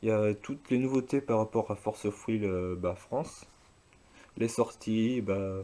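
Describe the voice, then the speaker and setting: A man speaks in a dark, mellow tone. His intonation is fairly even. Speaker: YouTuber doing a card game demo. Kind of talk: product demonstration. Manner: halting, many hesitations.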